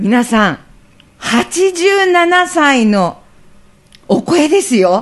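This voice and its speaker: In a high pitch with very wide swings, a woman speaks very slowly, leaving long, frequent pauses. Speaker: radio host. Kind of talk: casual interview. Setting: radio studio.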